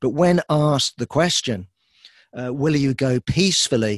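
A man with a British accent speaks at a fairly slow pace. The sound is dry and close with no echo, and the background is quiet. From Britain. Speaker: political commentator. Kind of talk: talk. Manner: halting.

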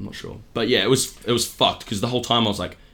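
Speaking at a very fast pace, a man with a New Zealand accent keeps to medium pitch. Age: 20s. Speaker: comedian. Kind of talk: casual chat.

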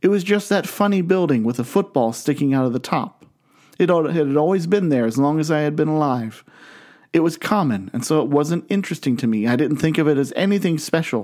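A man with an American accent speaks at a fairly quick pace in a fairly high pitch, his intonation lively and his loudness very even, on a very clean recording with a silent background. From US Midwest, Canton, Ohio. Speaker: pastor. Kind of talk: sermon.

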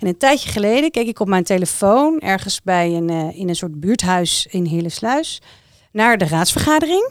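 A woman's medium-pitched voice at a moderate pace, with very wide pitch swings, on a very clean recording with a silent background. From The Hague, Netherlands. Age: 40s. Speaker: municipal civil servant. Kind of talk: casual chat. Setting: studio.

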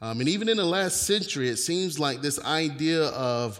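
A man speaks with an American accent in a normal speaking voice. His intonation is lively and his pace moderate. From US South, North Carolina. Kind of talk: sermon. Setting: church with congregation.

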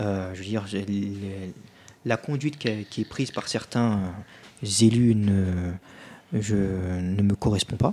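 Using a dark, mellow tone and a fairly low pitch, a man speaks at a very slow pace with fairly even intonation and long, frequent pauses. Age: 20s. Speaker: youth politician. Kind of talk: radio interview. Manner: halting.

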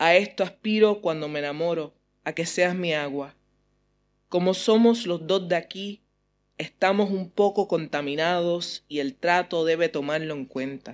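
The speaker talks at a fairly slow pace on a very clean recording with a silent background. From US and Puerto Rico. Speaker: poet. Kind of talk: poetry reading; interview.

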